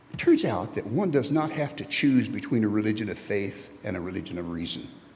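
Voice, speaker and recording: In an American accent, a man of medium pitch talks at a fairly quick pace with lively intonation, and room echo is audible. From Texas. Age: 70s. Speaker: lay preacher, church member. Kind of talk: sermon. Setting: church. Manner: conversational, halting.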